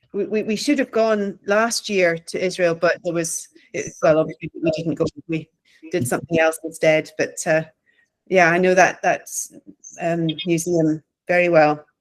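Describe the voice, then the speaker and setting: At a moderate pace and with ordinary pitch variation, a woman with a Scottish accent talks in a fairly low pitch, leaving long, frequent pauses. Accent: Scottish, closer to Glaswegian than Edinburgh. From Scotland, Stirling. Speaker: theology professor and pastor. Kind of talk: casual chat.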